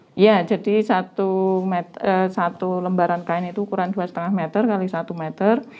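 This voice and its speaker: A woman with a normal speaking voice at a medium pitch and a fairly quick pace. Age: 40s. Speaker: batik maker. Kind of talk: interview.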